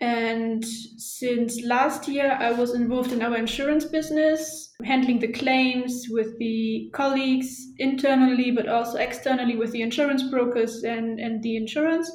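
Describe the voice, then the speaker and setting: A high-pitched woman at a moderate pace, with audible room echo. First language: German. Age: 20s. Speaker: shipping office employee. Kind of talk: interview. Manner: hesitant with fillers.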